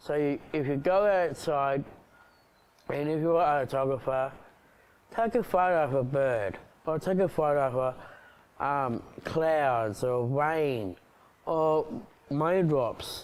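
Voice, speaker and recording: With an Australian accent, a man speaks very slowly, leaving long, frequent pauses. His voice is fairly high, with ordinary pitch variation. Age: 30s. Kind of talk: personal video address. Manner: halting.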